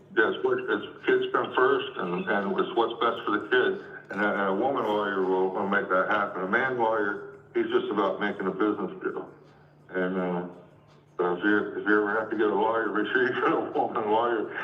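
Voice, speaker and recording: Talking at a fairly quick pace, a man is heard with audible room echo. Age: 60s. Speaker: home seller. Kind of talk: casual chat.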